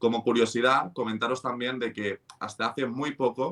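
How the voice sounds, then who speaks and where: A man speaks at a moderate pace, his medium-pitched voice bright and sharp in tone. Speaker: finance podcast host. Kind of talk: conversational podcast explainer.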